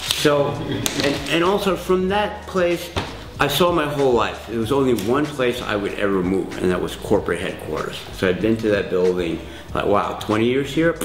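A man at a moderate pace with few pauses, with audible room echo. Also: medium pitch for a man, ordinary pitch variation.

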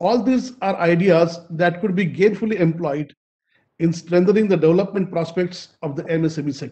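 With an Indian accent, a man speaks at a high pitch and a moderate pace. His pitch varies in an ordinary way over a quiet background. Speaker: event moderator. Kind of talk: formal speech. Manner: formal. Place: home room. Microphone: video call.

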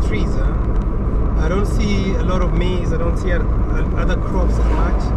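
The speaker goes at a moderate pace. Loud background noise fills the recording. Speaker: travel vlogger driving. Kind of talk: casual vlog commentary. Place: car. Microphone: camera far.

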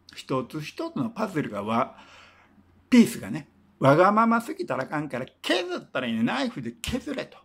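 A man's high voice swings very widely in pitch while keeping a moderate pace. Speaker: singer-songwriter and former teacher; former teacher. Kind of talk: casual storytelling monologue. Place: home room. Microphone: phone near.

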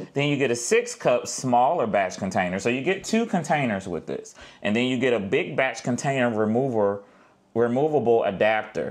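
The pace is moderate for this man. Nothing can be heard behind him. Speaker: home cooking vlogger. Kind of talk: casual product unboxing chat. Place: kitchen. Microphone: lapel.

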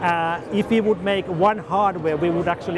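A man speaks at a moderate pace with a high pitch and ordinary pitch variation. Background noise is clearly heard.

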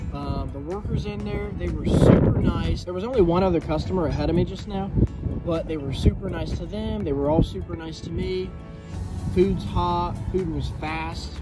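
Over loud background music, a man speaks at a moderate pace. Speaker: food reviewer. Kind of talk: casual vlog chat. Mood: upbeat, pleased. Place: street. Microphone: phone near.

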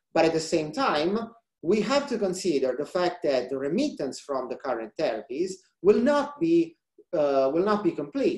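With an Italian accent, a man talks at a moderate pace and a high pitch, his pitch swinging very widely, against a quiet background with audible room echo. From central Italy. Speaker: research scientist; presenter. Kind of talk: scientific presentation. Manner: halting, many fillers. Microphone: webcam.

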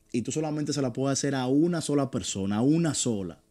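A man speaks in a dark, mellow tone with lively intonation. His pace is moderate. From Dominican Republic, San Cristóbal; Dominican Republic. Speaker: sports podcast host. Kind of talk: interview. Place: studio. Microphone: studio mic.

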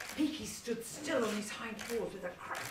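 A natural voice reading text out, its pitch shifting in a normal way

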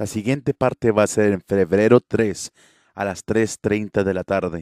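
A man's unremarkable speaking voice, fairly low and fairly even in intonation, at a fairly slow pace, in a very clean recording with a silent background and a dry, close sound with no echo. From Coahuila, Mexico.

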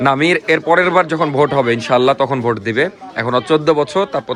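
Crowd noise fills the background as a man talks with lively intonation. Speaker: vlogger. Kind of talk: casual vlog narration.

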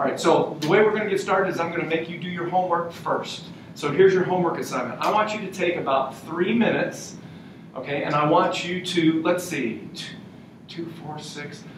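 A man with an American accent at a fairly quick pace, ordinary pitch variation, audible room echo and noticeable background noise. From New England, US. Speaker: university professor. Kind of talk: lecture. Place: meeting room. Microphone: camera far.

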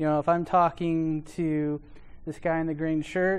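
A man's monotone, flat delivery over a quiet background. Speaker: conference presenter. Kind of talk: lecture. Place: classroom.

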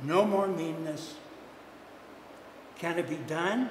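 At a slow pace, a man talks in a fairly high pitch with ordinary pitch variation and audible room echo.

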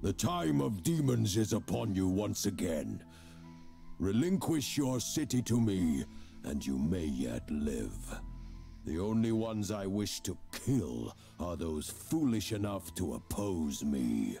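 Clear music plays behind a put-on character voice delivered at a fairly slow pace. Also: man, very deep, low pitch for a man. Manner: threatening, commanding.

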